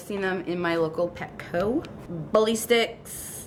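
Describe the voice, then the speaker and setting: A woman with a Long Island accent, medium in pitch, with ordinary pitch variation. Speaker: dog owner vlogger. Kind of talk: casual product show-and-tell vlog. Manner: chatty, talkative.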